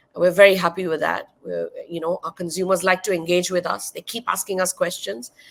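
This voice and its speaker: A woman talks at a fairly quick pace in a Marathi accent. Her pitch is medium and her intonation fairly even. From India (Maharashtra). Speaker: wine educator and content creator. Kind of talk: interview.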